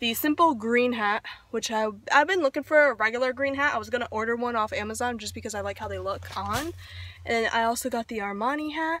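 A woman talks at a very fast pace in a bright, sharp tone, with ordinary pitch variation and a dry sound with no echo. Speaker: vlogger. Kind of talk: casual vlog chat. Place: car. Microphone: phone near.

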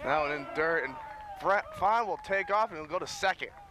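A man talks at a rather slow pace, and noticeable background noise can be heard. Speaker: sports broadcaster. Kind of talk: baseball play-by-play commentary.

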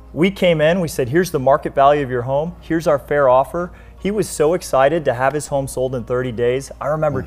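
Very fast delivery with hardly any pauses and ordinary pitch variation, over faint music in the background. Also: man. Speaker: guest. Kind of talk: interview answer. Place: studio. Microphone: lapel.

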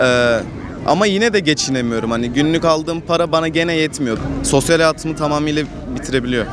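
Over crowd noise in the background, a man talks at a fairly quick pace with fairly high pitch and ordinary pitch variation, the sound dry with no echo. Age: young. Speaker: passer-by interviewee. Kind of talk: street interview. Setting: outdoors. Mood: frustrated, resigned. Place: street.

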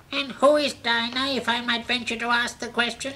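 In a put-on character voice, a female-sounding speaker uses a high pitch and monotone, flat intonation at a moderate pace, with clear background noise. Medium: audio drama. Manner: contrary, peevish. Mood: stiffly polite.

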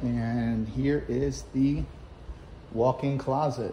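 A man speaks with fairly even intonation. Audible room echo and light background noise surround him. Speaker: real estate agent. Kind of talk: home tour vlog. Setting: outdoors; open house, walking through a home. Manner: casual, conversational. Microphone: iPhone on a gimbal; phone near.

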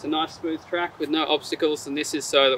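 Fairly quick, fairly even speech with a dry, echo-free sound and light background noise. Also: man. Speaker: presenter. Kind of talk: product presentation to camera. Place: forest.

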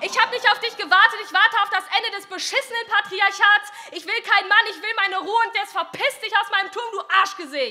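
With hardly any pauses, a woman speaks at an extremely high pitch, her pitch variation ordinary and her loudness swinging widely. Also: fairly quick pace. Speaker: poetry slammer. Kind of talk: poetry slam performance, rhymed fairy-tale satire read from text. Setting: stage with audience. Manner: playful and ironic, mock-storyteller tone with theatrical voices for king and princess; brisk, punchy delivery with comic timing and a defiant finish. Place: hall. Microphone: handheld.

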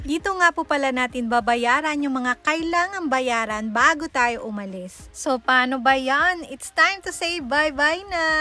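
Over noticeable background noise, a woman with a high pitch speaks in a raised, projected voice, animated in tone with lively intonation, at a fairly slow pace with hardly any pauses. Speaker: travel vlogger. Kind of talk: vlog narration. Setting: outdoors.

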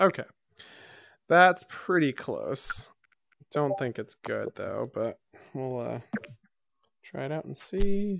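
Big pitch swings and vocal fry mark a fairly bright tone, delivered at a slow pace with long, frequent pauses. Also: man, medium pitch for a man.

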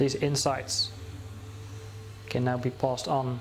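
Music plays in the background as a man talks. His tone is calm and his pace fairly slow. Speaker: guided meditation teacher. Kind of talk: guided meditation. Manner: slow, calm, with long pauses. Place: home room.

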